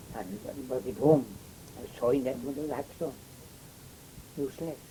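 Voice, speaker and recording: At a moderate pace, a man speaks with a rural Welsh accent. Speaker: oral history interviewee. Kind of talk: oral history interview. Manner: halting, many fillers and repeats.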